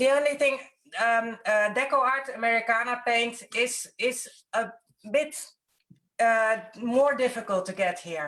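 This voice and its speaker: With a Dutch accent, a woman speaks at a fairly slow pace in a fairly high pitch, leaving long, frequent pauses. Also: ordinary pitch variation, very clean recording, silent background. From Netherlands. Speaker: mixed-media artist and workshop teacher. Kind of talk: live stream interview. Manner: halting.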